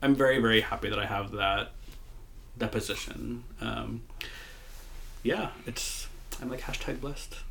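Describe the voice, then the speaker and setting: Audible room echo around a man's moderately paced speech, broken by long, frequent pauses. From US Midwest, Moline, Illinois. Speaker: podcast co-host, queer history worker. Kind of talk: casual chat.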